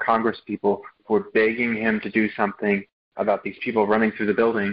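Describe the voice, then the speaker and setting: A man's medium-pitched voice at a fairly quick pace, a normal speaking voice. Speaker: class participant. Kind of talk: class discussion.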